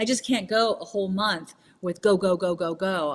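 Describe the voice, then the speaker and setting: A woman with a plain, everyday voice, fairly low in pitch, with ordinary pitch variation. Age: 50s. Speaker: wellness entrepreneur. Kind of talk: casual interview chat.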